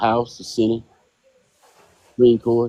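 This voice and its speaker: In a Louisiana accent, a man speaks at a moderate pace with a dark, mellow tone, the sound dry and close with no echo. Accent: Louisiana Southern US. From US South. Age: 70s. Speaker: regular panelist. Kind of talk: casual chat.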